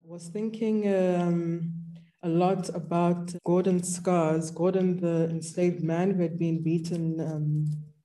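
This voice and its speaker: A woman's very slow, fairly low-pitched voice, dark and mellow in tone with monotone, flat intonation, amid audible room echo. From South Africa, Limpopo. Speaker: artist. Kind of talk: interview talk. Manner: halting.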